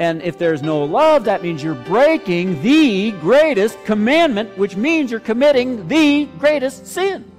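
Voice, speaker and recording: Music plays in the background as a man talks with hardly any pauses. His high voice makes very wide pitch swings. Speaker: pastor. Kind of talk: sermon, expository preaching.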